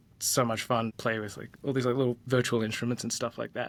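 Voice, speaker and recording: A man speaks in a monotone, flat intonation with an Australian accent. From Australia, Gold Coast. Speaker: design leader, former tenor singer. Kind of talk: interview, casual chat. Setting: soundproof conference room, remote interview. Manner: casual, many fillers.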